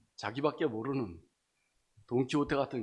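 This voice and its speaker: Moderate-paced male speech with ordinary pitch variation. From Chungcheong, South Korea. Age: 60s. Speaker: church member giving testimony. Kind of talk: testimony. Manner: halting, many fillers.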